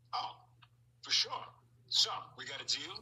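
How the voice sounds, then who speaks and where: A raspy, put-on character voice pitched extremely high speaks at a moderate pace. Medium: comedy sketch. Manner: slick.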